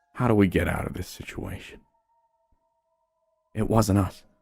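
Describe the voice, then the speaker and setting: Fairly slow speech from a man with a fairly low voice and ordinary pitch variation, music playing in the background. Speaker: horror story narrator. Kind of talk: horror story narration.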